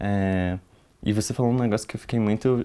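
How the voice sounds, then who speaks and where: Ordinary pitch variation and a dark, mellow tone from a male speaker. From Brazil, Rio de Janeiro and Brasília. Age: 20s. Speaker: youth activist at an NGO. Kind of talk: casual chat.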